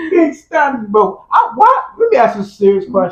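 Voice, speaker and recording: A man with an African accent at a moderate pace, his pitch swinging very widely. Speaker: podcast host. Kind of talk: casual chat. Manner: halting, repeats words. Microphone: mic battery low, audio may be quiet.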